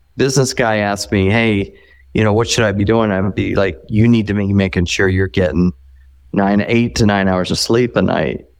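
With an ordinary speaking voice, a man speaks at a moderate pace and a fairly low pitch, keeping ordinary pitch variation and very even loudness over a quiet background. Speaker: performance doctor. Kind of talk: interview. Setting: phone call.

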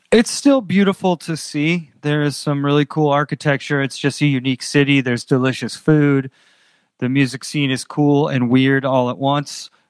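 A man with an American accent and a normal speaking voice, fairly high in pitch, at a moderate pace, in a dry, close sound with no echo. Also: fairly even intonation. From Andover, northeastern Massachusetts. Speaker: rock band singer. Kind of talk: interview.

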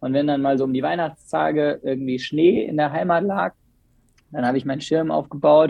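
At a fairly high pitch, a man uses an ordinary speaking voice. His pace is moderate, and his pitch varies in an ordinary way. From Bergisches Land, western Germany (Remscheid). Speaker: windsurf and kitesurf school operator. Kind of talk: casual chat.

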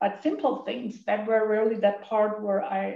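A woman with a German accent talks at a moderate pace and a medium pitch. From Germany. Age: 50s. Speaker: recovering overeater sharing at meeting. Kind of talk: recovery meeting share. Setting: video call. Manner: halting.

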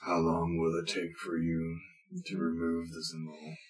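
Put-on character voice, moderately paced. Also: man, very deep, low pitch for a man. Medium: actual play. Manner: calm, measured.

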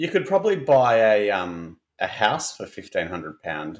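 A man speaks with an Australian accent and vocal fry. His pitch swings very widely. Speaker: podcast host. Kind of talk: casual chat.

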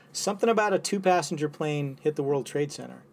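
A man with an unremarkable speaking voice and a fairly high pitch talks at a fairly quick pace with ordinary pitch variation, on a very clean recording with a silent background. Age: 50s. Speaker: physician and military veteran. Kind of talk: casual chat.

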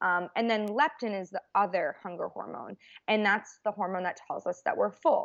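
A woman with an American accent and a plain, everyday voice talks at a moderate pace and medium pitch, with ordinary pitch variation. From Boston, US. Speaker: registered dietitian. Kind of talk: casual interview.

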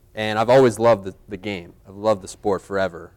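On a very clean recording with a silent background, a man with a normal speaking voice and an American accent talks in a fairly low pitch with ordinary pitch variation. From US, Philadelphia area. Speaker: podcast host and high school English teacher. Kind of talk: live panel talk to students. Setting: stage with live student audience.

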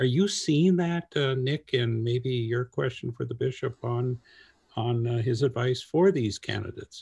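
With ordinary pitch variation and a somewhat breathy quality, the man talks fairly slowly at a medium pitch. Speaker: podcast host. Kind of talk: interview.

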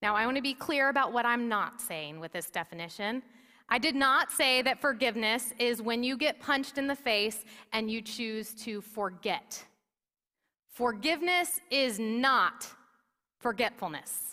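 Loud and bright with a sharp tone, a woman speaks at a high pitch and a fairly slow pace with lively intonation. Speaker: pastor. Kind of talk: sermon. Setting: church. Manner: loud, projecting.

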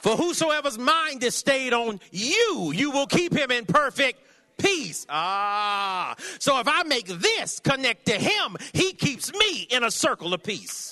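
A man with an American accent uses a raised, projected voice of extremely high pitch and a bright, sharp tone, swinging his pitch very widely at a very slow pace. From California. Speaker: traveling preacher. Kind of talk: sermon. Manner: animated.

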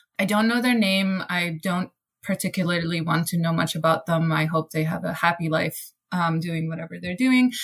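Somewhat breathy and fairly low-pitched, a woman speaks at a moderate pace with ordinary pitch variation. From Iran. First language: Persian. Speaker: actor and theater director. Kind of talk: casual panel discussion.

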